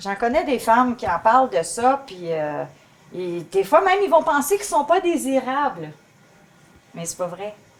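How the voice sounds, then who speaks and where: A woman speaks at a high pitch and a fairly slow pace, with long, frequent pauses. Her pitch swings very widely, and her loudness shifts a lot. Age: 60s. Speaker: guest speaker on women's health. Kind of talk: talk show conversation. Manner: hesitant, with false starts.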